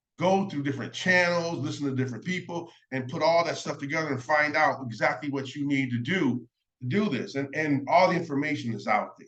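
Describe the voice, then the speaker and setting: Pitched fairly high, a man speaks at a moderate pace with ordinary pitch variation. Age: 60s. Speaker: self-help and legal advice vlogger, school worker. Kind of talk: casual vlog talk. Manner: casual, halting with many fillers.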